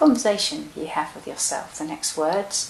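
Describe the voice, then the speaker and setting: A soft-spoken woman talks in a calm tone. Noticeable background noise runs behind her. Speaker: meditation guide. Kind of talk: guided meditation. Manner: soft-spoken, slow, calm.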